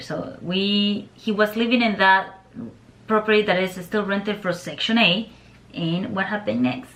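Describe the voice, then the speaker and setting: In a Nicaraguan accent, the speaker talks at a moderate pace with ordinary pitch variation. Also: woman. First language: Spanish. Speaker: YouTuber and landlord. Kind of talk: casual chat.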